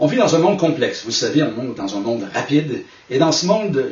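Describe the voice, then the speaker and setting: A man with a Quebec accent talks at a fairly quick pace with lively intonation. Audible room echo and noticeable background noise surround him. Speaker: management consultant and speaker. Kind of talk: recorded talk to camera.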